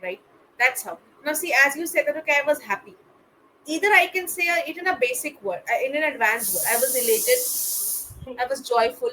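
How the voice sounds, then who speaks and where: A woman speaks in a raised, projected voice with an Indian accent, her high pitch making very wide swings at a fairly quick pace over noticeable background noise. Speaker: English tutor. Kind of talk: one-on-one spoken English tutoring.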